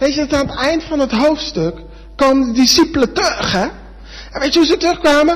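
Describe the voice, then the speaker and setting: Against noticeable background noise, a man with an extremely high pitch and ordinary pitch variation talks at a fairly quick pace. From Netherlands. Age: 20s. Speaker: preacher. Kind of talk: sermon.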